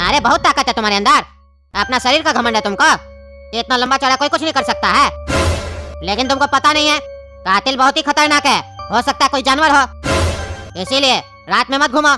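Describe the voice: This is a cartoonish character voice at a fairly quick pace. Faint music plays in the background.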